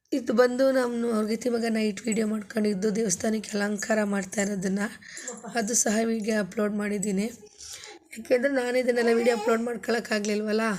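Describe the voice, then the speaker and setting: Against noticeable background noise, a woman speaks with a monotone, flat intonation. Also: fairly high pitch for a woman. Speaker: vlogger. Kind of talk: vlog voice-over narration.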